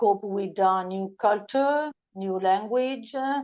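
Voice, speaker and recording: With an Italian accent, a woman speaks using ordinary pitch variation. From Italy. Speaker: podcast guest. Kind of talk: interview. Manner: halting.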